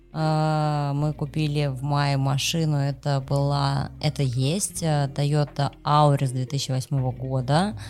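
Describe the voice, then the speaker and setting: A woman speaks at a very slow pace, her pitch very deep and low for a woman. Her loudness stays very even, with hardly any pauses. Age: 30s. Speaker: podcast co-host. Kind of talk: casual chat.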